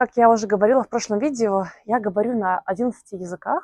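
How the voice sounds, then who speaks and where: The recording is very clean with a silent background and a dry, close sound with no echo. A woman speaks at a moderate pace in a fairly high pitch. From Belarus. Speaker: polyglot vlogger, software engineer. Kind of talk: personal vlog monologue. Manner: hesitant, many fillers.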